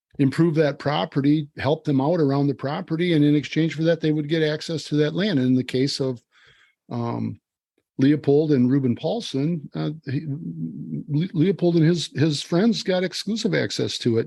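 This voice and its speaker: A man with an Upper Midwest accent speaks in a dark, mellow tone at a moderate pace, with ordinary pitch variation. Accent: Upper Midwest American. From Wisconsin, US Midwest. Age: 60s. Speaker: farmer and conservationist. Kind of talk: podcast interview. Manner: relaxed, conversational with fillers.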